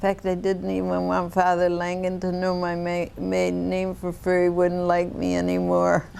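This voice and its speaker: A woman with an American accent at a moderate pace, amid audible room echo. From Ohio, US Midwest. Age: 70s. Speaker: interviewee. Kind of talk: family oral-history interview. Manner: halting.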